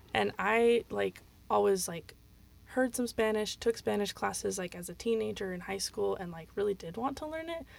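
In a very clean recording with a silent background, a woman speaks with an American accent at a moderate pace. Her loudness swings widely. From US West (Utah). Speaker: university student. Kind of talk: casual panel discussion.

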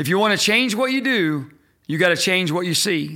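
At a moderate pace, a man with a US Midwestern accent speaks in a high voice with a bright, sharp tone, on a very clean recording with a silent background. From Indiana, US Midwest. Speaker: leadership podcast host. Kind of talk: solo teaching talk.

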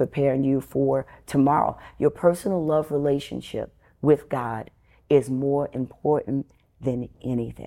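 Her voice is very deep and low for a woman, dark and mellow in tone, with fairly even intonation. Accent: New York. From New York City, Bronx. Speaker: preacher. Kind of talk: interview. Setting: on location in Richmond, Virginia.

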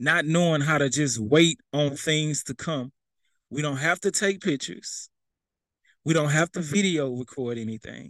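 Against a quiet background, a man talks at a moderate pace with an animated tone, a fairly high pitch and ordinary pitch variation. The sound is dry and close, with no echo. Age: 30s. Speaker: preacher. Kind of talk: sermon; casual chat.

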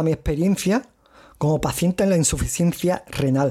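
A man with a high pitch and a dark, mellow tone is heard in a very clean recording with a silent background. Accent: strong Andalusian. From Andalusia, Cádiz province, Spain. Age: 30s. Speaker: podcast host, kidney patient. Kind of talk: solo podcast monologue. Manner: halting.

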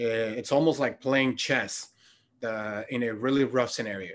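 Against a quiet background, a man with an unremarkable speaking voice talks at a fairly slow pace with fairly even intonation. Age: 30s. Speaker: health coach. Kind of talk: casual interview chat.

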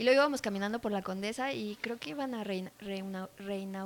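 A woman's unremarkable speaking voice, medium in pitch, at a moderate pace with ordinary pitch variation. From Mexico. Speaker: bartender and mixologist. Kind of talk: casual chat.

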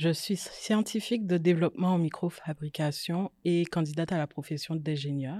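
A woman speaks at a moderate pace in a very deep, low, dark and mellow voice. The sound is dry and close with no echo, on a very clean recording with a silent background. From Guadeloupe. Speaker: microelectronics engineer. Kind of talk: casual interview discussion.

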